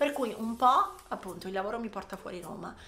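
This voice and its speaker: A woman talks at a fairly quick clip, with audible room echo and noticeable background noise. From Italy, Ancona (Marche). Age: 30s. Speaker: psychologist and podcast host. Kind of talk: casual monologue.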